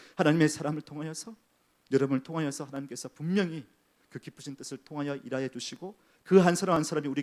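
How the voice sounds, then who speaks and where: A man with a fairly high voice rattles off his words at a very fast pace. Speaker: senior pastor. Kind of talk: sermon. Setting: church.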